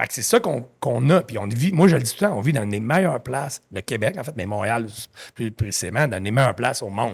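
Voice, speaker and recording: Somewhat breathy man at medium pitch, very fast, with an animated tone and lively intonation. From Quebec. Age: 50s. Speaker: entrepreneur. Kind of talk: podcast interview.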